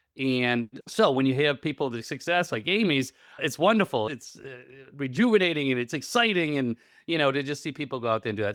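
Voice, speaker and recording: Heard in a very clean recording with a silent background, the speaker talks at a fairly quick pace with a slight Rhode Island accent. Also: man. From Rhode Island, New England. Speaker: real estate coach and investor. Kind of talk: interview conversation.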